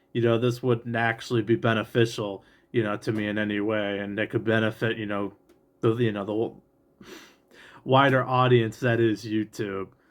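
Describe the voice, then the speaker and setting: With an American accent, a man speaks at a moderate pace and a medium pitch in a monotone, flat delivery. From Great Lakes region, USA. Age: 20s. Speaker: real estate trainee appraiser. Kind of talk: casual talk to camera. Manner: halting, frequent filler 'you know'.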